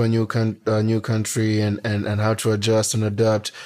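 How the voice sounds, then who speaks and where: A man talks with a fairly low pitch. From Kenya (Nairobi). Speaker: podcast co-host. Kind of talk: casual chat.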